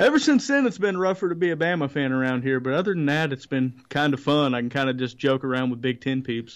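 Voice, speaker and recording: A man with a slight Alabama accent talks at a very fast pace with hardly any pauses. His pitch is fairly high, with ordinary variation. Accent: slight Southern (Alabama). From northern Indiana, Alabama-raised family. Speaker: racing journalist. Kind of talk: casual chat.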